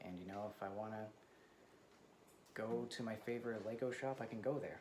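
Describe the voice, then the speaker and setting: A man talks at a fairly quick pace with fairly even intonation, audible room echo and noticeable background noise around him. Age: 30s. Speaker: vlogger. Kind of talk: casual personal vlog. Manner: soft-spoken; hesitant, many fillers.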